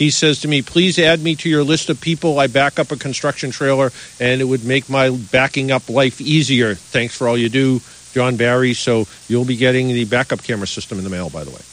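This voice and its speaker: Here a man with an unremarkable speaking voice talks at a medium pitch and a fairly quick pace. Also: ordinary pitch variation. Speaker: radio host of a car advice call-in show. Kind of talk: radio call-in show patter, friendly and chatty. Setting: radio studio with phone guests and callers. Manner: chatty, relaxed, conversational.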